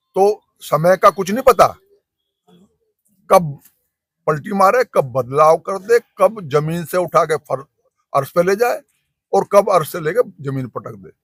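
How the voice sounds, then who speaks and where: Here a man with a high pitch talks with lively intonation and big swings in loudness. He takes long, frequent pauses, and the sound is dry and close with no echo. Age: 70s. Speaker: farmer union activist. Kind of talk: interview.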